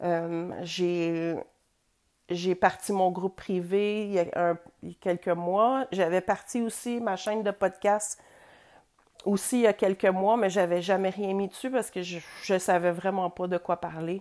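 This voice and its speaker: Long, frequent pauses mark the speech of a woman with a Quebec accent, who talks at a fairly slow pace with medium pitch and fairly even intonation. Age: 40s. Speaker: podcast host. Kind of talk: personal monologue. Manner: hesitant.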